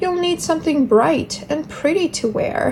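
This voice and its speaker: Over clear background noise, a woman does a put-on character voice at a high pitch and a moderate pace. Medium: read story. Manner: fussy, enthusiastic.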